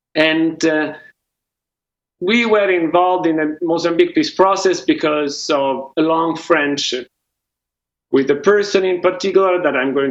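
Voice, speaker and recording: High-pitched, a man speaks at a fairly slow pace with a non-native accent. His pitch varies in an ordinary way. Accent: foreign. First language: not English. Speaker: peace mediator. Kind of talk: award speech. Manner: halting.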